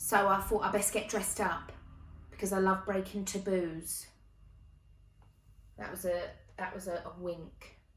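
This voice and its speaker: A somewhat breathy, medium-pitched woman's voice at a fairly slow pace, with long, frequent pauses and audible room echo. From Essex, England. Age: 20s. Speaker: comedian and performer. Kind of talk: stand-up. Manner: animated.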